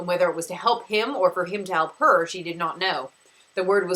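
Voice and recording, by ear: The pitch moves in an ordinary way as the passage is read aloud in a natural voice.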